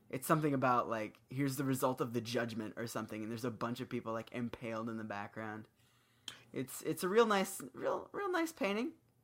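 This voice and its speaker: In a very clean recording with a silent background, a man talks quickly in an unremarkable speaking voice at a medium pitch with lively intonation. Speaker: podcast co-host, musician. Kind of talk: casual chat.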